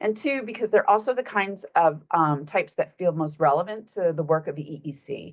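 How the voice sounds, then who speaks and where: Her medium pitch carries lively intonation as the woman speaks. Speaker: researcher presenting findings. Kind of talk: presentation of research findings. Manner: fast.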